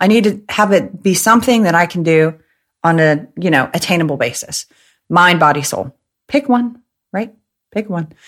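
Speaking at a moderate pace, a woman uses an animated tone at a medium pitch with very wide pitch swings. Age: 30s. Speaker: podcast host and entrepreneur. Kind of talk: casual monologue.

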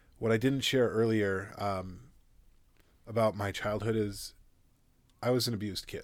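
Over a silent background in a very clean recording, a man with an American accent speaks at a moderate pace in a fairly low, monotone, flat voice, leaving long, frequent pauses. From US Upper Midwest, South Minneapolis. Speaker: entrepreneur, CBD store owner. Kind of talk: interview conversation.

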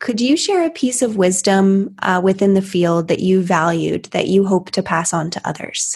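A woman speaks at a moderate pace with a somewhat breathy voice. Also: medium pitch for a woman, ordinary pitch variation, hardly any pauses. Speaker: podcast host. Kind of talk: interview.

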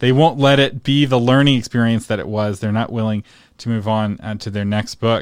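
A man speaks at a moderate pace in a medium pitch, with ordinary pitch variation and an unremarkable speaking voice. The recording is very clean, with a silent background. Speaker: podcast host. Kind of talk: interview conversation.

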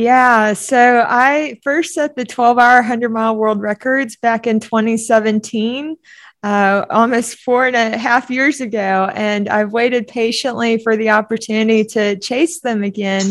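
A woman with an American accent talks at a fairly slow pace in a fairly high pitch, with hardly any pauses. She has a plain, everyday voice, captured in a very clean recording with a silent background. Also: fairly even intonation. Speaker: ultramarathon runner. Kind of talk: interview.

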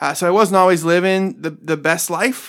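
A man with an Ohio accent, a high pitch and fairly even intonation. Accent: Northern US Midwest (Ohio). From Northeast Ohio, Cleveland and Medina. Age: 30s. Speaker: pastor. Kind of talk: casual interview.

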